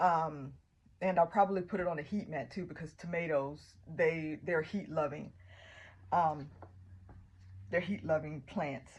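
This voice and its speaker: In a Southern US accent, a woman with a very deep, low pitch and a somewhat breathy voice speaks at a fairly slow pace with ordinary pitch variation and long, frequent pauses. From US South. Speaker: gardening vlogger. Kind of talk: tutorial. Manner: casual, with frequent fillers.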